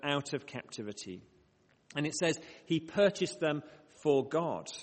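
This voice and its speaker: At a moderate pace, a man talks in a fairly high pitch. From northern England, Bradford. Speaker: mission organisation director, preacher. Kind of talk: prayer; sermon. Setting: church with congregation, microphone.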